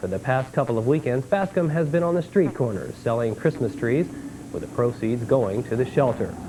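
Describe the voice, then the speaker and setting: A man speaks at a moderate pace in a plain, everyday voice, with medium pitch and lively intonation. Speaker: TV news anchor. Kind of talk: local TV newscast anchor read.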